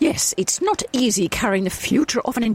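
The voice is plain reading aloud, carried by lively intonation.

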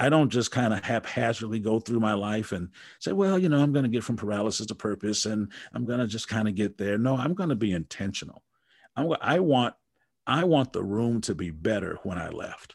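A man with an American accent has a normal speaking voice at a medium pitch, with lively intonation. He talks at a fairly quick pace over a quiet background. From Wisconsin. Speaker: motivational speaker and coach. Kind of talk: casual interview.

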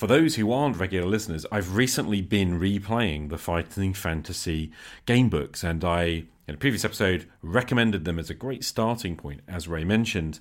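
Lively intonation in a British accent at a fairly quick pace. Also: man, very deep, low pitch for a man. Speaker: podcast host. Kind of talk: solo podcast monologue with call-ins and reading. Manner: casual, unscripted.

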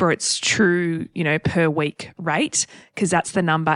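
A woman speaks with an Australian accent. Her voice is fairly low, and the background is quiet. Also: dry, close sound with no echo. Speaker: property podcast co-host. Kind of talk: casual Q&A chat. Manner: forceful, passionate.

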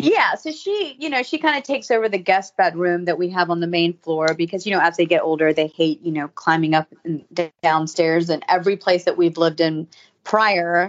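A woman with an American accent and an unremarkable speaking voice speaks at a fairly low pitch. Her pace is fairly quick, with ordinary pitch variation. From US South (Savannah, Georgia). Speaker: fashion blogger and reality TV cast member. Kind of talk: casual interview.

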